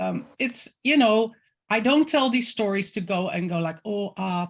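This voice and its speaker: Over a quiet background, a woman with a Dutch accent speaks at a fairly slow pace in a somewhat breathy voice, with ordinary pitch variation. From Netherlands. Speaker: intuitive creative coach. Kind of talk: interview. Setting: video call.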